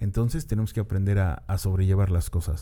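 The man's voice is fairly low in pitch. It carries a dark, mellow tone. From Mexico City. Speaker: podcast host. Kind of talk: solo monologue. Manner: casual, hesitant with repetitions.

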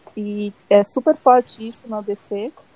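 A woman's monotone, flat voice at a fairly high pitch, in a dry, close sound with no echo. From São Bernardo do Campo, Greater São Paulo, Brazil. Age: 20s. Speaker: marketing professional. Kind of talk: casual chat.

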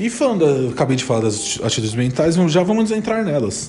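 A man speaks with very wide pitch swings. There is noticeable background noise and audible room echo. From São Paulo, Brazil. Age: 20s. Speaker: podcast host, hypnosis student. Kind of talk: casual educational chat.

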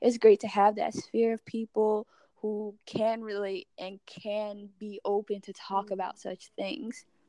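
A woman with a fairly high pitch and a dark, mellow tone speaks at a fairly slow pace with hardly any pauses, her intonation monotone and flat. Her loudness swings widely, and the sound is dry and close with no echo. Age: 20s. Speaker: podcast guest, university teaching assistant. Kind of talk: casual chat.

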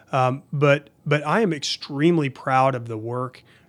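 The speech moves at a fairly slow pace. Its pitch varies in an ordinary way. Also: man. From Oklahoma City, Oklahoma. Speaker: state agency director. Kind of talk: interview. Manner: hesitant, many fillers.

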